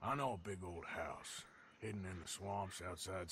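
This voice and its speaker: A man puts on a character voice that is raspy and very deep and low in pitch. He goes at a moderate pace over clear background noise. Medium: video game.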